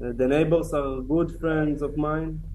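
This man speaks. He has an Israeli accent. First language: Hebrew. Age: 30s. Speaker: October 7 survivor, kibbutz security team member. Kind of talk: testimony.

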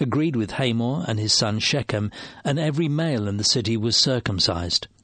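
A man speaks in an ordinary speaking voice at a medium pitch and moderate pace. His intonation is lively against a quiet background. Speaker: Bible reader. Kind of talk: reading aloud.

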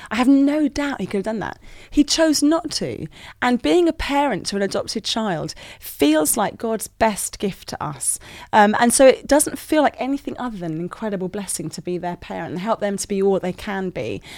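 A woman with a British accent talks at a moderate pace and a fairly high pitch, her pitch swinging very widely and her loudness shifting a lot. The recording is very clean, with a silent background. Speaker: youth worker and author. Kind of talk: casual interview chat. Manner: sassy, bubbly, animated.

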